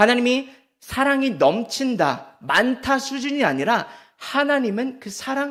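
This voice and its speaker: With ordinary pitch variation, this man talks at an extremely high pitch. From Seoul and Gyeonggi area, South Korea. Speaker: pastor. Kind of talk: sermon. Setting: church.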